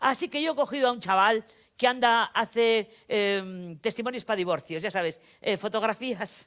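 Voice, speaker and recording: A woman with a fairly high pitch talks at a moderate pace with lively intonation, recorded very cleanly against a silent background. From Spain, Vitoria-Gasteiz (Basque Country). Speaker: novelist. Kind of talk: lecture. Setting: stage with audience. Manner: animated, conversational storytelling.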